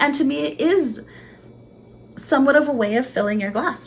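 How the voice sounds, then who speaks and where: Audible room echo surrounds the speech. A woman keeps to a moderate pace. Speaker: vlogger, student. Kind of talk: unscripted monologue. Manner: animated, energetic.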